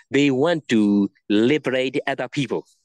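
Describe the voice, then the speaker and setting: A man talks with lively intonation in a Burmese accent. The background is quiet, and the sound is dry with no echo. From Myanmar; Mandalay, Myanmar. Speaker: Buddhist monk. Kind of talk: interview conversation answering questions. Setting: video call. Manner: halting, repetitive. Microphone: video call.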